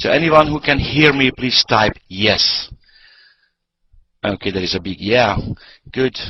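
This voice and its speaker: Speaking with a non-native accent, a man at medium pitch uses lively intonation at a fairly slow pace, leaving long, frequent pauses. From Hungary. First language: Hungarian. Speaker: network marketing presenter. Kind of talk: sales pitch. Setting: online conference call.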